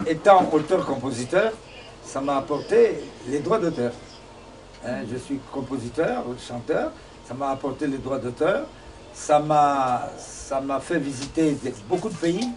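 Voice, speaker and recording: A man speaks very slowly in a fairly high voice with ordinary pitch variation. He takes long, frequent pauses. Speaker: singer-songwriter. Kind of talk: interview. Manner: halting.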